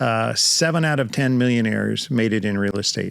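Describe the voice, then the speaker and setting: A man of medium pitch speaks with an American accent and ordinary pitch variation. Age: 60s. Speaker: title industry veteran, real estate investor. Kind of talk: casual interview chat. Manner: hesitant, many fillers.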